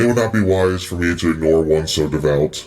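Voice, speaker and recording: At a fairly quick pace, a man puts on a character voice in a very deep, low pitch. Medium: actual play. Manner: measured, commanding, divine gravity.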